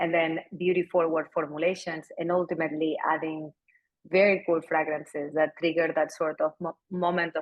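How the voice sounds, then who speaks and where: Intonation stays monotone and flat, in a Spanish accent. The pace is moderate. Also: woman. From Spain, Barcelona. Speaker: company founder and CEO. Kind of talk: fireside chat interview.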